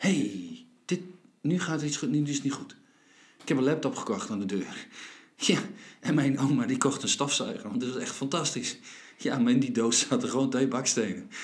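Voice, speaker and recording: A man speaks at a moderate pace with fairly high pitch and very wide pitch swings. His long, frequent pauses carry an audible room echo. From Friesland, Netherlands. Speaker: podcast host. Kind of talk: philosophical conversation. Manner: halting.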